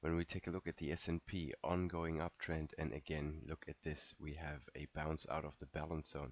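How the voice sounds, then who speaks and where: A man's very deep, low voice with vocal fry, fairly even intonation, a moderate pace and hardly any pauses. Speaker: market analyst. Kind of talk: market recap. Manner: casual, with fillers.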